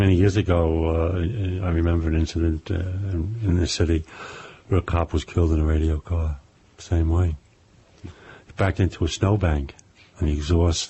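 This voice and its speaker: With a New York accent, a man speaks at a moderate pace in a very deep, low voice, his intonation fairly even. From New York, Brooklyn. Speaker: crime novelist, former police officer. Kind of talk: interview.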